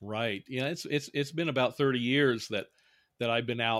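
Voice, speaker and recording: A man with an ordinary speaking voice and an American accent talks at a moderate pace with ordinary pitch variation, in a very clean recording with a silent background. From Indiana, US Midwest. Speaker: professor, author, former Klan member. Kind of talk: interview.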